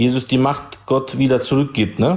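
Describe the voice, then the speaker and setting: A man with an ordinary speaking voice, medium in pitch. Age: 40s. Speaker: caller in religious debate. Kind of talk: religious debate.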